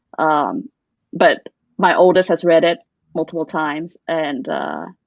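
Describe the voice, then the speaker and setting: Fairly low in pitch, a woman speaks with an American accent and ordinary pitch variation. Her pace is fairly slow. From US, Vietnamese refugee community. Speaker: children's book author. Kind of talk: interview conversation. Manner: halting, many restarts.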